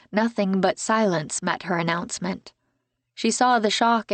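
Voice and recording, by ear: In a quiet background, a passage is read aloud in a natural voice whose pitch varies in an ordinary way.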